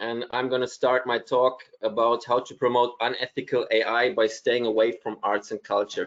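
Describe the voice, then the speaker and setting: The man holds a medium pitch and a moderate pace, his intonation monotone and flat. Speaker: artist and AI ethics consultant. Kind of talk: lecture. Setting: video call.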